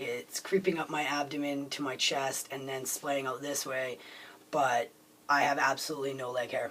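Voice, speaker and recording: There is noticeable background noise as a man speaks at a moderate pace. His pitch is fairly high and his intonation monotone and flat. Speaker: video blogger. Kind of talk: casual vlog. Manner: halting, many fillers.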